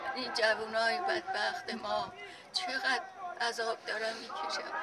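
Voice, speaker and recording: With a high voice, a woman speaks at a fairly slow pace with very wide pitch swings. Crowd noise fills the background. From Iran. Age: 80s+. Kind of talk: interview answer. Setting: outdoors.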